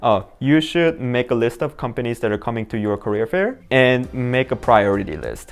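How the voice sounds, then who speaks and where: Speaking at a medium pitch, a man talks with a non-native accent. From immigrant, non-English-speaking country. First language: not English. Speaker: software engineer, tech career vlogger. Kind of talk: casual advice talk to camera. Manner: halting, many fillers.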